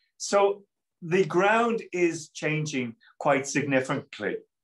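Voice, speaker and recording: In a quiet background, a man speaks with an Irish accent. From Ireland. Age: 50s. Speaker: politician, Member of European Parliament; webinar panelist. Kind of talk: panel discussion. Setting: video call. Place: office. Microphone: video call.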